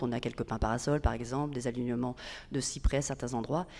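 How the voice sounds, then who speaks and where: A woman talks at a very fast pace. Her tone is dark and mellow. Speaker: public agency manager. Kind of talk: conference talk. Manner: hesitant.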